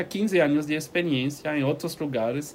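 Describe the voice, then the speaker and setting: This man talks. His pitch sits fairly high. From Switzerland. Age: 40s. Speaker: ecovillage community organiser. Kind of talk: interview. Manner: halting.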